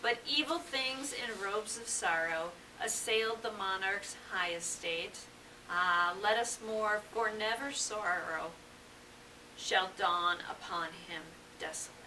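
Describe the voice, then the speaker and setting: A woman talks at a very slow pace with lively intonation. There is noticeable background noise. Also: medium pitch for a woman. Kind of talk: poetry reading.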